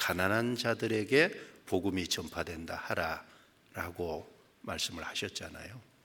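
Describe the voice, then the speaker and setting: Speaking at a very slow pace, a man with a very deep, low pitch has a bright, sharp tone and ordinary pitch variation. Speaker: preacher. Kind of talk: sermon. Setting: church.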